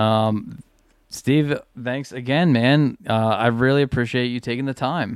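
A man speaks at a fairly slow pace. His pitch is medium and his intonation fairly even. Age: 30s. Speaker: podcast host, bass player. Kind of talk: casual chat. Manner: halting, repeats words.

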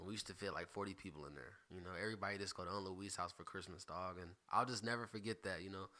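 Very fast and with hardly any pauses, a man speaks in an American accent at a very deep, low pitch, his tone bright and sharp and his intonation fairly even. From South Carolina, Greenville. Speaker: podcast host. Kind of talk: casual chat.

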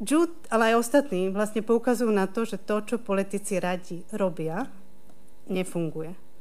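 With a Slovak accent, a woman talks at a moderate pace and medium pitch, with ordinary pitch variation and audible room echo. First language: Slovak (speaking Czech). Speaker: university lecturer. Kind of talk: panel discussion. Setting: hall with live audience, streamed online.

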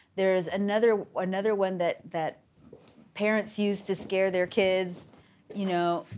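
With an unremarkable speaking voice at medium pitch, a woman talks at a fairly slow pace on a very clean recording with a silent background. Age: 50s. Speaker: theater company podcast host. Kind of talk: casual chat.

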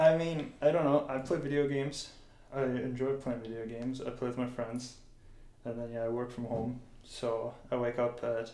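A man with a Canadian accent and medium pitch, fairly even intonation and a moderate pace, with audible room echo and music in the background. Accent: sounds Canadian. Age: 20s. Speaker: host's boyfriend, guest. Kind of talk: casual chat.

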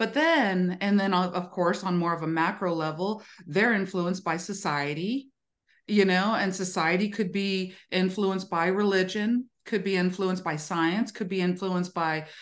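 A woman with an American accent at a moderate pace, with ordinary pitch variation and a quiet background. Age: 50s. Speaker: spiritual teacher and author. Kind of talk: interview conversation. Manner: animated.

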